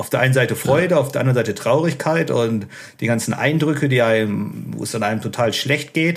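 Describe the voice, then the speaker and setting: A man at a medium pitch and fairly quick pace, with ordinary pitch variation. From Ruhr area, Germany (Unna/Dortmund). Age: 30s. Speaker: former prisoner and author. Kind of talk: interview testimony. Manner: calm, matter-of-fact.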